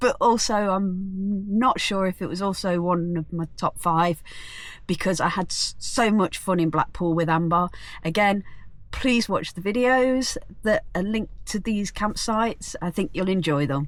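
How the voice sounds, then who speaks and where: Someone with an English accent speaks at a fairly slow pace with ordinary pitch variation, on a very clean recording with a silent background. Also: woman, medium pitch for a woman. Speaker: vlogger. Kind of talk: casual vlog narration. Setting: outdoors at a campsite.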